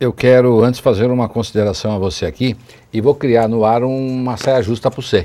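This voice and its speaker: This man has a dark, mellow tone. He speaks at a moderate pace with fairly even intonation. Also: medium pitch for a man. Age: 60s. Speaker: city councillor, politician. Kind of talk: TV interview. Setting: TV studio, live.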